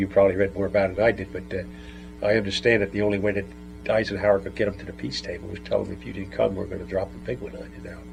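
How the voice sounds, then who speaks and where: With music in the background, a man with an American accent talks very fast in a very deep, low voice with very wide pitch swings. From New Jersey. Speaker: World War II veteran. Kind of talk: interview answer.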